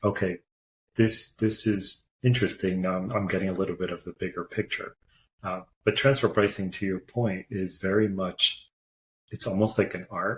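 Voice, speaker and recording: On a very clean recording with a silent background, a man talks at a moderate pace in a fairly low, somewhat breathy voice with fairly even intonation. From Portugal, moved to US at nine. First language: Portuguese. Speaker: corporate tax executive. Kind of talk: podcast interview.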